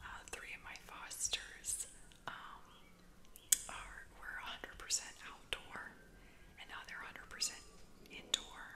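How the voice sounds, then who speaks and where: A woman whispers at a fairly slow pace, with long, frequent pauses. Her loudness swings widely. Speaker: ASMR creator and painter. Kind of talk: ASMR whispering, casual talk to camera. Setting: home recording with outdoor noise. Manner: soft, whispered, conversational with filler words. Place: home room. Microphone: studio mic.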